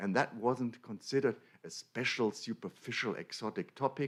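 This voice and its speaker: With a German accent, a man speaks in a lively intonation. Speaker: academic lecturer. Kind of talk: conference lecture. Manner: halting.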